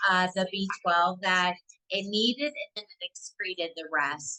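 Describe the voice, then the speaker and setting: This voice has a Southern US accent and a bright, sharp tone. The pace is fairly slow. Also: woman. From US South. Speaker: nurse practitioner. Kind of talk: webinar Q&A. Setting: online webinar.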